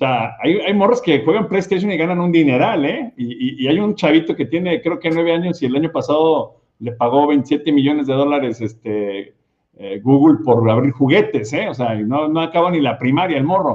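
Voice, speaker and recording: This man has a plain, everyday voice, fairly high in pitch, and talks at a moderate pace. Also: lively intonation. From Mexico, Guadalajara. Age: 50s. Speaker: podcast host. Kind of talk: interview. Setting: studio.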